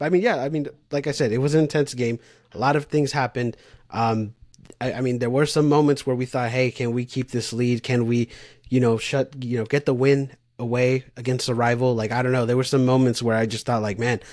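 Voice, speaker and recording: Over a quiet background, a man talks at a fairly quick pace. His intonation is fairly even. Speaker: podcast co-host. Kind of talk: casual sports podcast discussion. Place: home room.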